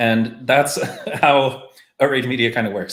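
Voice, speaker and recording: A man with a Canadian accent talks at a moderate pace. He has a plain, everyday voice and fairly even intonation. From Canada. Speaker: marketing podcast host. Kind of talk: casual discussion on a live stream. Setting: live stream call.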